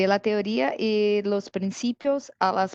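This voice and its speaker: Recorded dry and close with no echo, a woman with a Brazilian accent speaks at a medium pitch with fairly even intonation. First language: Portuguese (speaking Spanish). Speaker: IT security specialist. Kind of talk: technical presentation. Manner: halting, many fillers.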